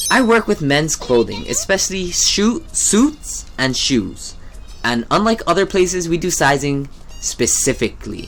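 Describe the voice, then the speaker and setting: Fairly slow speech over music in the background. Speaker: video game and shopping vlogger. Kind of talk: casual vlog monologue over gameplay. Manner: stuttering, halting at times.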